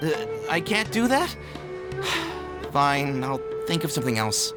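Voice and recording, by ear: A man's put-on character voice at a slow pace, with very wide pitch swings and clear music in the background. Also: fairly high pitch for a man.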